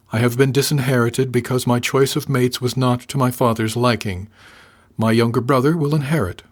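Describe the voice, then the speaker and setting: A soft-spoken man performs a put-on character voice at a medium pitch, sounding resonant at a fairly quick pace. His loudness stays very even on a very clean recording with a silent background. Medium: audio drama. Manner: formal, guarded, unemotional.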